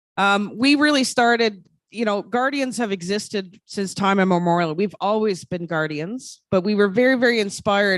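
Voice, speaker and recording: With a slight Labrador accent, this voice moves at a moderate pace and shows ordinary pitch variation. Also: woman. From Quebec, Innu community. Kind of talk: conference presentation. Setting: conference hall with audience. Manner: halting with fillers.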